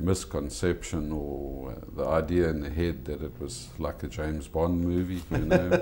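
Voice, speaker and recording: A man speaks at a moderate pace in a very deep, low voice. His intonation stays fairly even, and the room echo is audible. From South Africa, Eastern Cape (East London). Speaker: restaurant owner. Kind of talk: TV interview.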